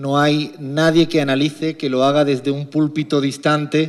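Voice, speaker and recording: This man's voice is fairly high and his pace moderate. His intonation stays monotone and flat. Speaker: economist. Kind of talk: lecture.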